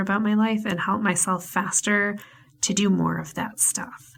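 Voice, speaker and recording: At a medium pitch, the woman speaks in a somewhat breathy voice. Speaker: podcast host and life coach. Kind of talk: casual monologue.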